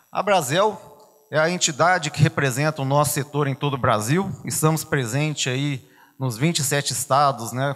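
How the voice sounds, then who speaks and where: A man at a moderate pace, his fairly high pitch showing ordinary variation over a quiet background. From Belo Horizonte, Minas Gerais, Brazil. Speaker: business association leader; guest. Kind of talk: conference talk. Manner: conversational. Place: hall. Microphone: handheld.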